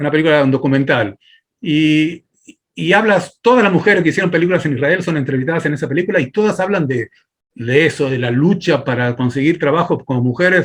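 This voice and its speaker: Very fast speech comes from a man with a fairly high pitch. His intonation is lively. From Argentina. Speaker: filmmaker and film teacher. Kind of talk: interview.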